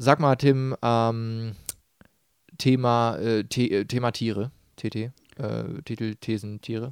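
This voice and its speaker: On a very clean recording with a silent background and a dry, close sound with no echo, a man speaks at a medium pitch and a very slow pace. His intonation is fairly even, with long, frequent pauses. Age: 20s. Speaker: podcast co-host. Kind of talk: casual chat. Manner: hesitant with many fillers.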